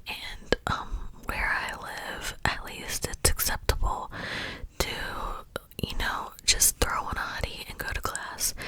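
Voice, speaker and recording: Whispering very slowly, the speaker leaves long, frequent pauses while noticeable background noise continues. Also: woman. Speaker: ASMR creator. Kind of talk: whispered ASMR storytime. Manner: whispered, soft, relaxing.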